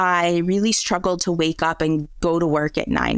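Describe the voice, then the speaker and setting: In a normal speaking voice with an American accent, the speaker keeps a fairly even intonation. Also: woman. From US Midwest (Michigan). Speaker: remote work expert, author. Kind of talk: podcast interview.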